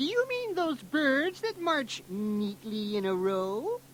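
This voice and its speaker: A female-sounding, high-pitched put-on character voice moves at a fairly slow pace with very wide pitch swings. Clear background noise sits behind it. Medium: read story. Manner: loud, hearty.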